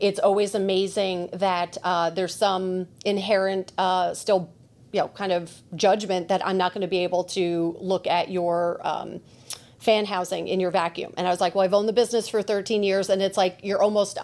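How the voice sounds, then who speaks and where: Speaking with a New Jersey accent, a woman holds a medium pitch in a monotone, flat intonation. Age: 40s. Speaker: podcast host and shop owner. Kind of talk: casual chat. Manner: fast.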